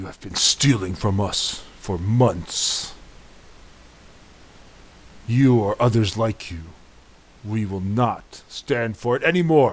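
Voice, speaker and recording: A man puts on a character voice at a medium pitch, speaking at a fairly slow pace. His loudness swings widely, and he takes long, frequent pauses. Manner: sneering, accusatory.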